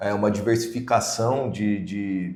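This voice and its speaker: A man talks fairly slowly, and echo from the room is audible. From Brazil, São Paulo state. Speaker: podcast co-host, IT and project manager. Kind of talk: casual podcast introduction. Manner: hesitant, many fillers.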